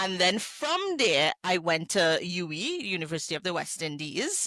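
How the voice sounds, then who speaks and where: A woman talks at medium pitch and a moderate pace, with ordinary pitch variation. Noticeable background noise sits behind her. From Trinidad (Arima). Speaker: hospitality entrepreneur. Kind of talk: podcast interview.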